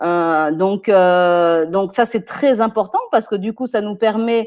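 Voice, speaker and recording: A woman's voice of medium pitch with ordinary pitch variation, at a fairly slow pace. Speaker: personal development expert. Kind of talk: webinar talk. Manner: hesitant, many fillers.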